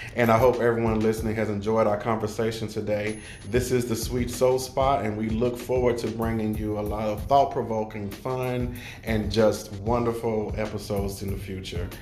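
A man speaks at a medium pitch and moderate pace. His intonation is monotone and flat, with noticeable background noise. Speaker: podcast host. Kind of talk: casual chat.

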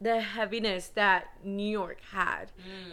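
A woman speaks at a medium pitch in a Spanish accent. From San Antonio, Texas. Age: 20s. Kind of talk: casual chat, testimony.

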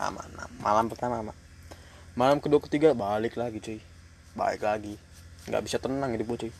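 A medium-pitched man talks at a very fast pace with big swings in loudness and long, frequent pauses. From Depok, Indonesia. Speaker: podcaster, ship worker. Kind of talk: casual solo podcast chat. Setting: on a ship. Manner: casual, profane, animated; halting at times.

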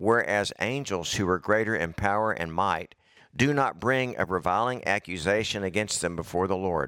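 Recorded dry and close with no echo, a man speaks at a moderate pace, his pitch fairly low with ordinary variation. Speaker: preacher. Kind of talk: sermon. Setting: church. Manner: informal, conversational.

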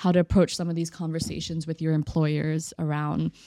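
A woman speaks in a very deep, low pitch with a dark, mellow tone. The sound is dry and close with no echo, on a very clean recording with a silent background. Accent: Texan. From Texas (Austin). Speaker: entrepreneur. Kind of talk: casual interview.

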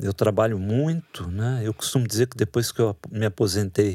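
In a very clean recording with a silent background and a dry, close sound with no echo, a man with an ordinary speaking voice talks at a moderate pace, his fairly low pitch showing ordinary variation. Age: 60s. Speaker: writer and literature professor. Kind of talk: interview.

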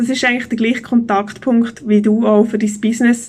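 A woman talks at a moderate pace in a fairly high, somewhat breathy voice with monotone, flat intonation. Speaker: business consultant and podcast host. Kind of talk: solo podcast monologue.

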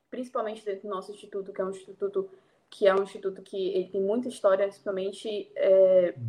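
Her tone dark and mellow, a woman talks at a fairly quick pace and medium pitch with ordinary pitch variation. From Brazil, Belém (Pará). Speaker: international relations student. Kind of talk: interview.

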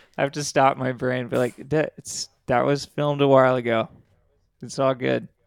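A man with a Californian accent at a medium pitch and moderate pace, monotone and flat, the sound dry and close with no echo. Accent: Californian American. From California (San Diego, Ridgecrest). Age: 30s. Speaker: rock band vocalist. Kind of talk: casual interview chat.

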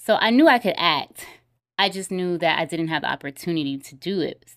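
A woman with an American accent, fairly low in pitch, animated in tone, at a moderate pace with ordinary pitch variation, on a very clean recording with a silent background. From US South, Atlanta area (Clayton County, Georgia). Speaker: filmmaker and screenwriter. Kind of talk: casual interview chat. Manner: animated, laughs often.

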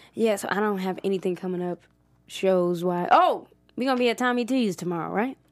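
A woman speaks at a fairly quick pace at medium pitch with ordinary pitch variation. The recording is very clean with a silent background. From Ohio, Cleveland area (Maple Heights). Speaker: stand-up comedian. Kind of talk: casual interview chat.

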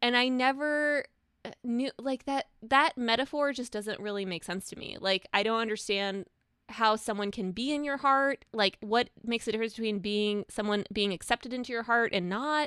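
A woman speaks at a moderate pace with a bright, sharp tone and fairly high pitch with ordinary pitch variation. The recording is very clean with a silent background and a dry, close sound with no echo. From immigrant to the US. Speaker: journalist and author. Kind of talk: interview.

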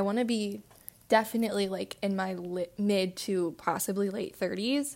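A woman speaks at a moderate pace in an unremarkable speaking voice of medium pitch. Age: 20s. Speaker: podcast co-host. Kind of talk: casual chat.

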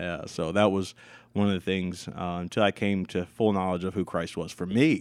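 A man with an American accent speaks at a moderate pace in a very deep, low voice. The recording is very clean, with a silent background. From Pennsylvania, US. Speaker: musician and pastor's kid. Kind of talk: casual chat. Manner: animated.

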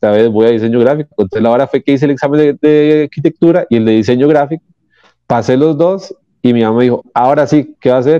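A man at medium pitch. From Costa Rica, San Rafael. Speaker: comic book artist. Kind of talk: interview. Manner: halting, repeats words.

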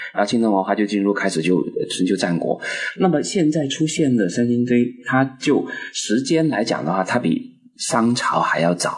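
At a moderate pace and with very even loudness, the voice swings very widely in pitch over noticeable background noise. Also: man, medium pitch for a man. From Guangdong, China. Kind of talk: casual discussion. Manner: halting, repeats words.

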